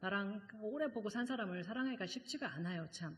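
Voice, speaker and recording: A woman talks at a fairly quick pace with a medium pitch, ordinary pitch variation and a somewhat breathy voice. Audible room echo is present. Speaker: seminary professor and guest preacher. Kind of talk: sermon. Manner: fast; conversational, many fillers.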